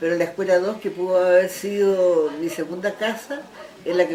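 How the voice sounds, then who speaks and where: Noticeable background noise behind a fairly low female voice, moderate in pace, its pitch varying in an ordinary way. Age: 70s. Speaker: retired schoolteacher, former folk group member. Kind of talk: interview. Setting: at her home.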